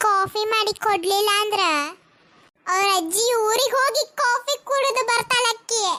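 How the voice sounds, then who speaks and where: This is a cartoonish character voice at an extremely high pitch. It moves at a very slow pace. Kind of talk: cartoon comedy voicing. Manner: chatty, gossipy.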